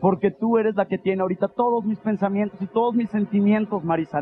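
The speech comes at a very fast pace with fairly even intonation. Faint music plays in the background. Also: man. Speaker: stage actor. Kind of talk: theatrical monologue, acted phone call. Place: stage.

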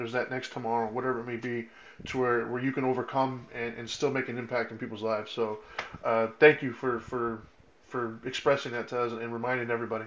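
Delivering his words at a very fast pace, a man speaks at a medium pitch with monotone, flat intonation. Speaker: podcast co-host. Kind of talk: casual chat. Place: home room. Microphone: video call.

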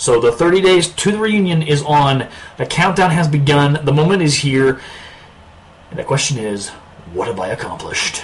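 A man with fairly high pitch talks at a moderate pace, taking long, frequent pauses. His intonation is lively and his tone animated and playful. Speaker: YouTube vlogger. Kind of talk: casual video blog monologue. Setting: recorded alone to camera. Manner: animated, playful, puts on accents; self-described awkward. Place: home room. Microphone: webcam.

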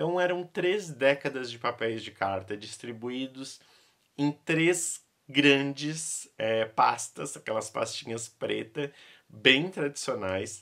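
A man at a very slow pace, bright, sharp tone, lively intonation and big swings in loudness, against a quiet background. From Brazil. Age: 30s. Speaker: YouTuber and vintage doll collector; YouTuber. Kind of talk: casual vlog showing a collection. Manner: animated. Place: home room.

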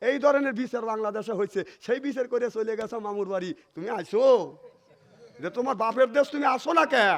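This man's voice sits at an extremely high pitch, with ordinary variation in its pitch. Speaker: Islamic preacher. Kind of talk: sermon.

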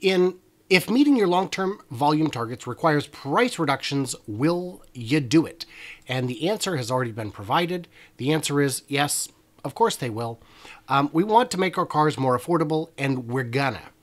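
A man talks at a moderate pace, his intonation lively. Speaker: livestream host. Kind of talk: casual livestream commentary.

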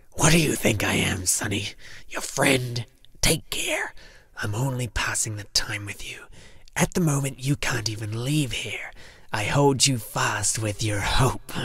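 A put-on character voice, growling and raspy, comes at a low-to-middle pitch and a moderate pace. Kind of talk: audiobook character acting. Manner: menacing, mocking, weary.

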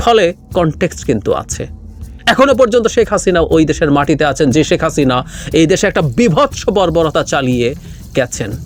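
A man speaks over background music. His pitch sits fairly high and swings very widely. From Bangladesh, Rangamati district. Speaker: political commentator. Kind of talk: political commentary monologue.

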